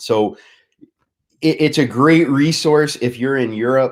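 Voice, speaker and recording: Speaking with a New York accent, a man keeps a moderate pace. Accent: New York American. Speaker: martial arts business executive, show host. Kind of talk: online show interview.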